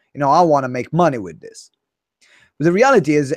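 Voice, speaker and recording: A man with an Italian accent talks at a fairly quick pace, his intonation lively. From Italy. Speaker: business coach. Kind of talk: podcast interview. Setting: video call.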